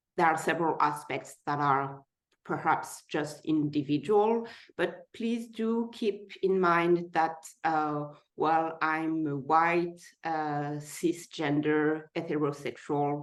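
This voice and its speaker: A woman's very deep, low voice with a French accent, a very slow pace and ordinary pitch variation over a quiet background. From France. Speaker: person living with type 1 diabetes sharing her story. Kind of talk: personal testimony in a webinar.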